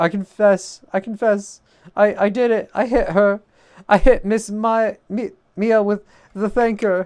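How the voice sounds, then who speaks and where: In a put-on character voice, a man sounds robotic and nasal at a high pitch. His intonation stays fairly even, and his pace is fairly slow. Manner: confessing, dramatic.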